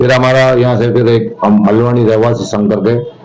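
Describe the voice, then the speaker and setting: A man's monotone, flat delivery amid noticeable background noise and audible room echo. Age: 60s. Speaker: local party politician. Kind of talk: interview.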